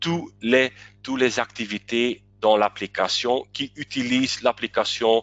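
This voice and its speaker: A man with a non-native accent speaks at a medium pitch. His pace is very slow. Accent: non-native French, self-described weak. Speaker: webinar presenter. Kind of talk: webinar presentation. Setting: online webinar. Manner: halting, many hesitations.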